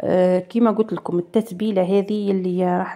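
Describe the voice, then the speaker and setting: A woman is talking. Her pace is moderate. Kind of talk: tutorial. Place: home room.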